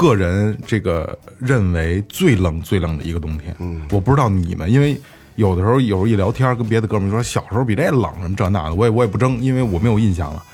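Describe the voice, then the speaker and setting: A man with a fairly low pitch talks very fast with hardly any pauses. His intonation is lively, and background noise is noticeable. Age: 30s. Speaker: podcast host. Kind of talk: casual chat. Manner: halting, with many repeated words.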